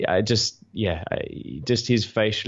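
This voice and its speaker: A man with a South African accent, against a quiet background. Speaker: podcast host. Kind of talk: casual chat. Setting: video call. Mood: friendly, amused. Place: home room. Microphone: studio mic.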